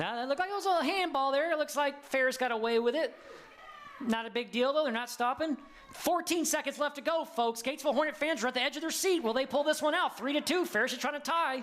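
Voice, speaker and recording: Over noticeable background noise, a man with an American accent talks at a very fast pace in an extremely high voice with ordinary pitch variation. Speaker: sports commentator. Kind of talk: live commentary. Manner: animated.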